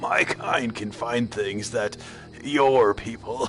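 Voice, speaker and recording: A man drawls very slowly in a raspy, put-on character voice at a medium pitch, with clear background noise behind him. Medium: read story. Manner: gruff, laughing between breaths.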